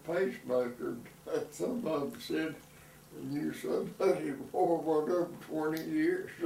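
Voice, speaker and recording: In an Alabama accent, a man speaks at a fairly slow pace with long, frequent pauses and big swings in loudness. Audible room echo and noticeable background noise fill the recording. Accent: US Southern (Alabama). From Alabama (Birmingham). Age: 80s+. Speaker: elderly man telling his life story. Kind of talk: oral history interview. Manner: halting, with many fillers.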